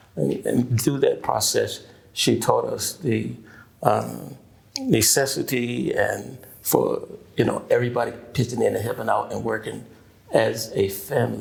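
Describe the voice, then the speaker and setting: A man talks with a Mississippi accent. His pace is fairly slow. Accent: Southern US, Mississippi. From US South, Mississippi Delta. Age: 70s. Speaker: pastor. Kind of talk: oral history interview. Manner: halting, many fillers.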